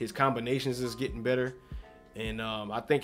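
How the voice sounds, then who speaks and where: Music plays behind a man speaking at a very fast pace. His medium-pitched voice stays monotone and flat. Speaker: boxing commentator YouTuber. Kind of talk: casual commentary video. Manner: halting, with fillers and restarts.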